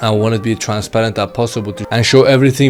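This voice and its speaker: There is music in the background as a man talks at a medium pitch. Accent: non-native. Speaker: e-commerce YouTuber. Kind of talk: casual vlog talk to camera. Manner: halting with fillers.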